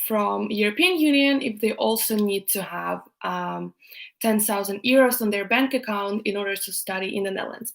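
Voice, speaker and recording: Recorded very cleanly against a silent background, a woman speaks in a fairly high pitch. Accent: Russian. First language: Russian. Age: 20s. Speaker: YouTuber, student. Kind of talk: live stream Q&A chat. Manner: hesitant, many fillers.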